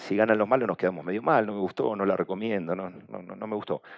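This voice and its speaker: A man speaks in a fairly low voice over a quiet background. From Argentina. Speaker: communication agency director, conference speaker; conference speaker. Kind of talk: conference talk. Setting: stage with audience. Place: hall. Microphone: headset.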